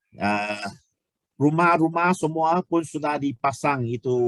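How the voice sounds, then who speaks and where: A man speaks at a very slow pace with lively intonation, in a dry, close sound with no echo. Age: 60s. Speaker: product presenter. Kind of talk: sales pitch. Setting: online webinar. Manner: halting.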